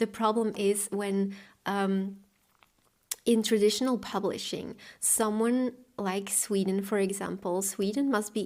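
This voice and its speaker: In a Flemish accent, a woman speaks at a fairly slow pace with a monotone, flat intonation. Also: very clean recording, silent background. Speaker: booktuber and author. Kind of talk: Q&A video monologue. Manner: casual, with fillers.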